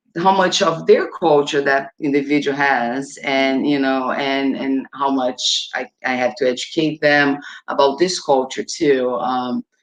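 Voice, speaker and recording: The pace is fairly slow, with hardly any pauses. The speaker has a Portuguese accent. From Brazil, São Paulo. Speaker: domestic violence advocate. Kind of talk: panel discussion. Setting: live webinar.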